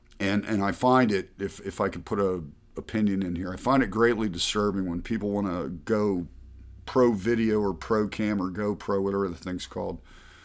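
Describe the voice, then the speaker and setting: Recorded very cleanly against a silent background, a man with an unremarkable speaking voice and an American accent talks at a fairly low pitch and a moderate pace, with ordinary pitch variation. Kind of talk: casual interview.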